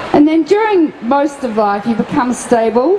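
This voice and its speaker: A high-pitched woman's voice at a moderate pace, with noticeable background noise. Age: 70s. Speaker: anti-nuclear activist and physician. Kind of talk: speech at festival seminar. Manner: impassioned.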